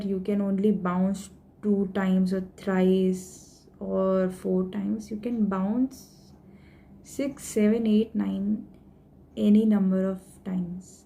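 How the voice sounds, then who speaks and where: A woman's somewhat breathy, dark and mellow voice at a medium pitch and a very slow pace. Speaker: stammering awareness vlogger. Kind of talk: tutorial. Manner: code-switching Hindi and English.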